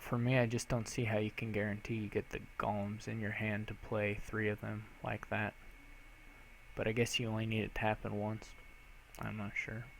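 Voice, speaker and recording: A man speaks quietly at a moderate pace. His fairly low voice stays monotone and flat. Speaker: game streamer. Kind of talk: live gameplay commentary. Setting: live stream. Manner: quiet, speaks low.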